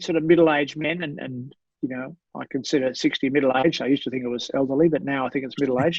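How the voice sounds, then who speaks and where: The pace here is very fast. This man talks with an Australian accent. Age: 60s. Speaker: sports doctor. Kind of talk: podcast interview. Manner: halting.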